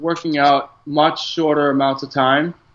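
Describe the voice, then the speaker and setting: At a fairly slow pace, a man with a fairly high voice and ordinary pitch variation speaks in a normal speaking voice. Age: 30s. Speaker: chef and writer. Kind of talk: interview.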